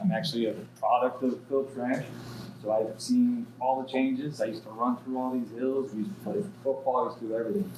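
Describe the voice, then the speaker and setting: Over noticeable background noise, a man with an American accent speaks at medium pitch with ordinary variation. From Southern California (Pomona). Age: 30s. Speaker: municipal contract administrator, committee member. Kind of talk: community meeting introduction.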